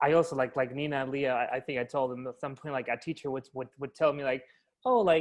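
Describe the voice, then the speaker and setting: A man's fairly high voice with a Latin American accent, very fast pace and fairly even intonation, over a quiet background. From Chile. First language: Spanish. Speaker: actor. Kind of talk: casual chat.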